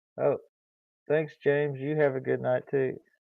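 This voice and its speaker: A man in a relaxed tone with an American accent. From Kansas City, Missouri. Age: 60s. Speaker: YouTuber. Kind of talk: casual chat. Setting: live stream.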